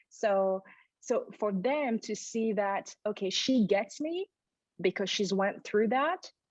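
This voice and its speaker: Over a quiet background, a woman with a non-native accent speaks very slowly at a fairly high pitch with ordinary pitch variation, the sound dry and close with no echo. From Burundi. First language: not English. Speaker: educator and diversity workshop leader. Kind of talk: interview conversation.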